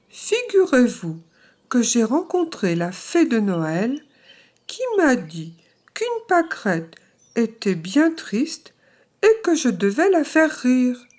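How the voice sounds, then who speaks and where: A female-sounding, high-pitched put-on character voice moves at a fairly slow pace with very wide pitch swings and long, frequent pauses. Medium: read story. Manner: proud.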